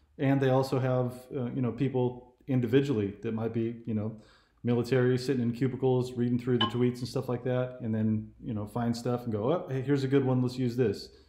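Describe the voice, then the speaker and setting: Speaking at a fairly quick pace with an American accent, a man delivers his words in a monotone, flat intonation with a dark, mellow tone over noticeable background noise. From California. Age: 40s. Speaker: YouTube political commentator; interview guest or host. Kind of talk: casual chat. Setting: phone call. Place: home room. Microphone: webcam.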